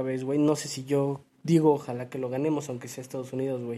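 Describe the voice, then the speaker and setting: Speaking with a dark, mellow tone, a man talks at a fairly high pitch with fairly even intonation. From Mexico. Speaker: football podcast co-host. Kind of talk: casual chat.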